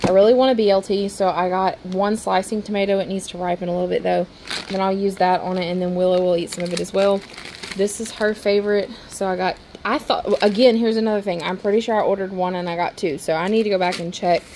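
A woman speaks at a very fast pace against light background noise. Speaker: grocery haul vlogger. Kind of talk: casual vlog chat. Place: kitchen. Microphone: phone near.

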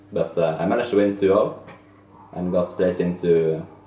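Very deep, low male voice in a room with audible echo. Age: young. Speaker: esports player. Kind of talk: casual chat. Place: home room. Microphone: camera far.

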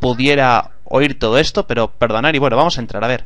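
Very fast speech from a man at medium pitch, dry sound with no echo. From Spain. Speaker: gaming YouTuber. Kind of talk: gameplay commentary. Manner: animated.

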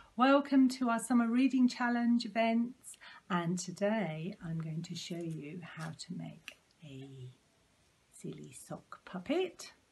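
Somewhat breathy, a woman speaks at a very slow pace with very wide pitch swings. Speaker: presenter. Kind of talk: tutorial. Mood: warm, cheerful. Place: home room. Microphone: phone near.

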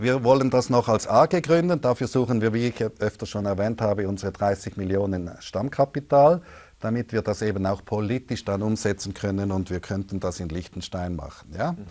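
The tone is dark and mellow, with lively intonation. The background is quiet. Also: man, fairly low pitch for a man, moderate pace. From Switzerland. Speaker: finance author; interview guest. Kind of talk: interview. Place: studio. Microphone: lapel.

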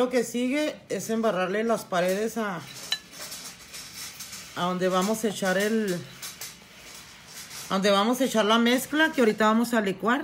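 With audible room echo, a woman at medium pitch speaks at a fairly slow pace, using ordinary pitch variation and long, frequent pauses.

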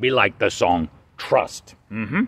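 A man's voice, heard dry with no echo. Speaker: puppeteer doing weather report. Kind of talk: comedic character weather report. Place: garden. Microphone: phone near.

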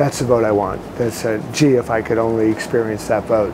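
A man is speaking at a moderate pace. Background noise is noticeable throughout. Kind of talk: interview answer. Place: boat. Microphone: lapel.

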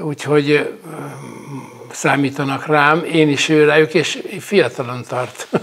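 Speaking at a very slow pace with long, frequent pauses, a man uses a fairly high pitch and fairly even intonation. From Hungary, Lake Balaton area. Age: 70s. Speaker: retired wrestler and coach. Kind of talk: interview. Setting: at the guest's home. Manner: halting. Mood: warm, nostalgic, moved. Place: home room. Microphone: lapel.

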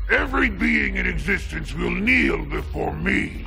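A man speaks at a moderate pace over clear background noise. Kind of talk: theatrical villain monologue. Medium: short film. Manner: gloating, grandiose, sneering.

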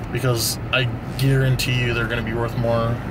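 A man's voice amid noticeable background noise. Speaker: sneaker reseller vlogger. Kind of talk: casual vlog chat. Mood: relaxed, confident. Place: car. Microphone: phone near.

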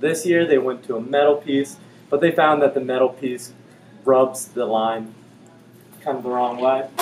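With music in the background, a man talks at a moderate pace with ordinary pitch variation. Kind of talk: tutorial. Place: shop. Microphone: camera far.

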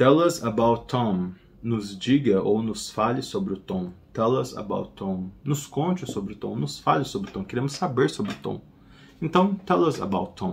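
A man's voice with vocal fry and very wide pitch swings, fairly slow in pace, over light background noise. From Brazil. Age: 30s. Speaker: English teacher. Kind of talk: tutorial. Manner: casual, repeats phrases slowly. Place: home room.

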